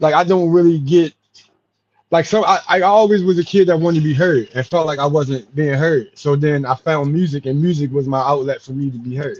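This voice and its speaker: This man talks at a fairly quick pace in a fairly high pitch. His pitch varies in an ordinary way. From Baltimore, Maryland (West Baltimore). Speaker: hip-hop artist and activist. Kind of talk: casual interview. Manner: hesitant, many fillers.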